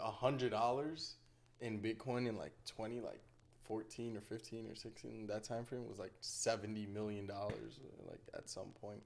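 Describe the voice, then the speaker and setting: At a moderate pace, a man talks at a medium pitch with fairly even intonation. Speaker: podcast co-host being interviewed. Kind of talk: casual interview chat. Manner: loud.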